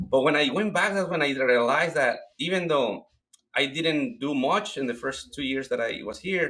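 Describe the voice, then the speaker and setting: A man with a Mexican accent talks at a moderate pace in a fairly high pitch, his bright, sharp tone carried by lively intonation. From Mexico. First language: Spanish. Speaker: cleaning business owner. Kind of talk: interview.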